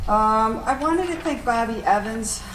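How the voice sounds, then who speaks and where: Noticeable background noise and audible room echo fill the space. A woman talks through them at a fairly slow pace. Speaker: city development official. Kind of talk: meeting report. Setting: city council meeting. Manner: loud.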